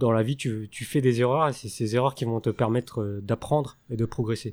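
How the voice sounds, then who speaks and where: A man speaks at a medium pitch with a dark, mellow tone and fairly even intonation, at a fairly slow pace. The recording is very clean, with a silent background. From France. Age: 20s. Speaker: French teacher. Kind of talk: interview. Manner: hesitant.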